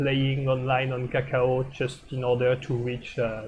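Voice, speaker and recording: A man of medium pitch with a French accent. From France. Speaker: streamer commenting board games. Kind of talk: live game commentary stream. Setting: live stream. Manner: hesitant, many filler uh.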